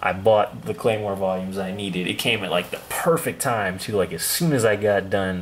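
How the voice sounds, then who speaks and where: Amid noticeable background noise, a man with a very deep, low voice speaks fairly quickly with fairly even intonation. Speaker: YouTuber reviewing manga hauls. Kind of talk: casual vlog haul video. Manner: casual, filler-heavy.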